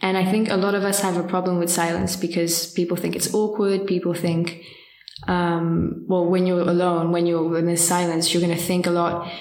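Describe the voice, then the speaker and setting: Audible room echo surrounds a woman's fairly low voice. Her intonation is monotone and flat. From France, near Geneva. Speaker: student volunteer for a listening helpline. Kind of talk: podcast interview.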